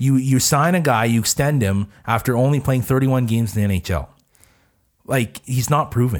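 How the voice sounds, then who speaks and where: In a very clean recording with a silent background, a man with an unremarkable speaking voice talks at a fairly quick pace, with very even loudness and ordinary pitch variation. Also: medium pitch for a man. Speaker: co-host, hockey commentator. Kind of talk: casual chat. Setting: studio.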